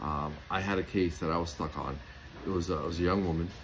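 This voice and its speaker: A man's very deep, low voice amid noticeable background noise and audible room echo. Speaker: homeopath and natural health product maker. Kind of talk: casual talk to camera. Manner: fast; animated.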